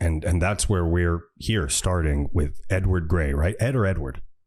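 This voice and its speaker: With a US East Coast accent, a man with a very deep, low pitch speaks at a moderate pace with ordinary pitch variation in a very clean recording over a silent background. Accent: US East Coast American. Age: 60s. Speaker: podcast host. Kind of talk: interview.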